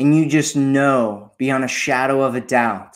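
At a very slow pace, a man speaks at medium pitch. His tone is gentle and calm. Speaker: meditation guide. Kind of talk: guided meditation. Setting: solo recording, addressing listener. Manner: slow, calm, soothing, with long pauses; gentle, repetitive, hypnotic cadence.

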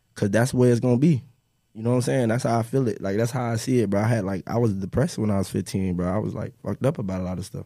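A man with an American accent speaks at a very fast pace in a dark, mellow tone. His pitch is medium with ordinary variation, on a very clean recording with a silent background. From Central Florida (Lake County). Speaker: rapper. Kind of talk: casual interview chat.

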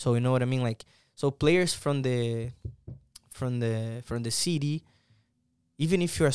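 A man at a moderate pace, medium pitch and ordinary pitch variation, with a Portuguese accent, in a dry, close sound with no echo on a very clean recording with a silent background. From Brazil, Santos. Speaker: soccer player and coach. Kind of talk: casual interview.

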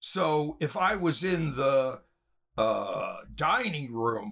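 The voice has an American accent and a bright, sharp tone, with vocal fry. Its pitch swings very widely. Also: man. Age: 60s. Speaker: film director and writer. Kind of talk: interview. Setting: video call.

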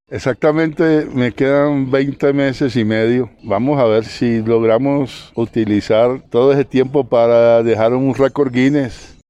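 A man speaks at a medium pitch with a dark, mellow tone. His loudness is very even and he barely pauses. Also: fairly slow pace. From Colombian Caribbean coast, Santa Marta. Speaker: civil engineer, sports institute official. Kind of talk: radio interview. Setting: outdoors.

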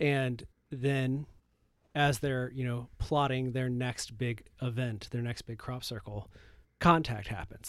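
Here is a normal speaking voice with an American accent and fairly even intonation. The recording is very clean, with a silent background. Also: man. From Michigan. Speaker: film critic. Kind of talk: casual chat. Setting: home recording closet.

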